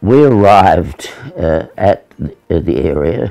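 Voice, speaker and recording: With an Australian accent, a man speaks with lively intonation as faint music plays in the background. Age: 80s+. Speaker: navy veteran. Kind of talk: interview answer. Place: home room.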